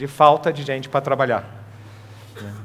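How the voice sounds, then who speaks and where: The voice belongs to a man. It is pitched in the middle range. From Portugal. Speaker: sales manager speaking at a trade congress. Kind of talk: conference talk.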